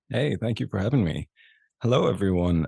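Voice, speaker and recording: Against a quiet background, a man's dark, mellow voice with vocal fry makes very wide pitch swings, its sound dry and close with no echo. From Ireland. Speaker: actor and content creator. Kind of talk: podcast interview.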